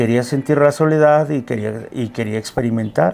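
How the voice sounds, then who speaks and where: In a Mexico City accent, a man talks at a moderate pace with a medium pitch and fairly even intonation. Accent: Mexico City area Mexican Spanish. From central Mexico, State of Mexico. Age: 60s. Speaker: medicine man and drum maker. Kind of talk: interview conversation. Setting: studio interview in Mexico City. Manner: halting, with fillers and repetitions.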